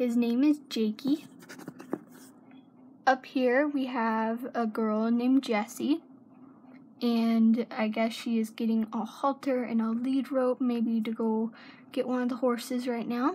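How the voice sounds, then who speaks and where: A woman with a high pitch speaks at a very slow pace with fairly even intonation. Light background noise is present. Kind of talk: casual show-and-tell tour. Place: home room. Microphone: phone near.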